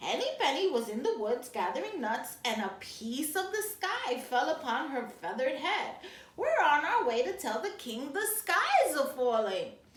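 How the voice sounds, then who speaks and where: In a put-on character voice, a woman speaks at a high pitch with very wide pitch swings. Her pace is moderate with hardly any pauses, and there is slight echo. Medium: read story.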